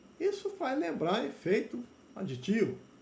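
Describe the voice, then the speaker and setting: Through audible room echo, a man talks at a fairly slow pace with very wide pitch swings. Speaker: university lecturer in plant genetics. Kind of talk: lecture.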